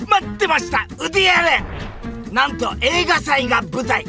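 An excited man's raised, projected voice, extremely high in pitch, with very wide pitch swings at a moderate pace, over music in the background. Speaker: comedian. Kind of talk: movie trailer. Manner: high-energy, excited.

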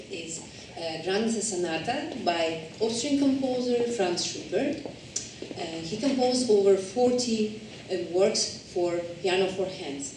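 Against light background noise and audible room echo, a woman talks at a fairly slow pace. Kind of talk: spoken program introduction. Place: hall. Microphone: camera far.

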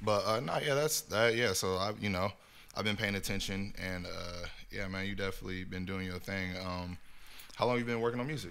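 A man with an American accent speaks in a fairly low voice with ordinary pitch variation. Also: fairly quick pace. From California. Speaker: podcast host. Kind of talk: casual chat. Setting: video recording. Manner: animated. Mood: relaxed, joking. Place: studio. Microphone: studio mic.

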